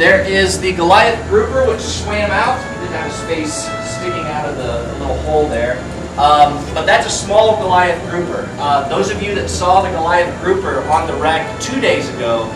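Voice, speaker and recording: With clear music playing in the background, a man speaks at a moderate pace. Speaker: aquarium dive guide. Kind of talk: guided briefing talk. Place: hall. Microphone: camera far.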